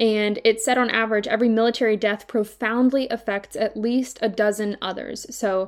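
An unremarkable speaking voice in an American accent, moderately paced, its intonation fairly even. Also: woman, very clean recording, silent background. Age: 20s. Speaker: leadership podcast host. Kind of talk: solo podcast monologue.

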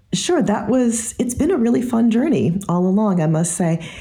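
Somewhat breathy, the woman's voice carries a dark, mellow tone. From US, army family, several places. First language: French. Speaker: political science professor. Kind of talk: interview. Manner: animated.

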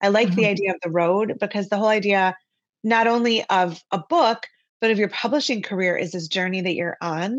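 A woman with an ordinary speaking voice talks at a medium pitch with ordinary pitch variation. Her pace is fairly quick against a quiet background. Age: 50s. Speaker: author. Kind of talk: interview.

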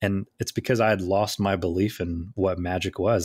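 A man with a very deep, low pitch and an American accent speaks at a fairly quick pace in a somewhat breathy voice. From southeast Tennessee, US South. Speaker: illusionist and speaker. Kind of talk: interview conversation. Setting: video call.

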